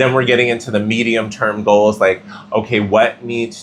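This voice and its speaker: A normal speaking voice. A man at medium pitch speaks with fairly even intonation. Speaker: tarot reader. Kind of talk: tarot reading.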